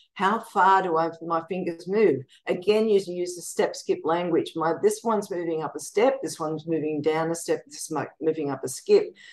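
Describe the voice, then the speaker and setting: Speaking at a moderate pace, a woman uses a fairly low pitch in an Australian accent. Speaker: music educator and composer; guest. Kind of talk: interview. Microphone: video call.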